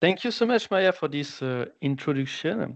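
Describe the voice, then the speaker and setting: In a French accent, a man speaks at a moderate pace. His pitch swings very widely. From France. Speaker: applications engineer. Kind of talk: webinar presentation. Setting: online webinar.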